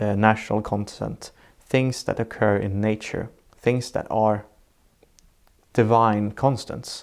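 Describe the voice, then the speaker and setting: In a Swedish accent, a man speaks at a medium pitch. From southern Sweden. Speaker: architect. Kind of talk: interview. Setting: in person, seated together. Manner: halting.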